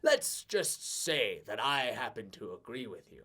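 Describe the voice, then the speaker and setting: A man puts on a character voice with a smug tone. He moves at a fairly slow pace with lively intonation. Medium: actual play. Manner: smug, deliberate.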